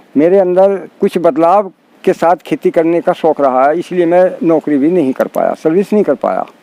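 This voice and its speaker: A man's high voice, with ordinary pitch variation, sounds dry and close with no echo. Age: 70s. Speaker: farmer. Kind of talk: interview.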